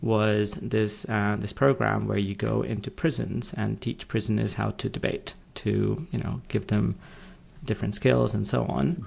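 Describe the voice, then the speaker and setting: This man has a British accent. He talks fairly slowly. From UK. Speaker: legal tech executive and podcaster. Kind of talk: podcast interview.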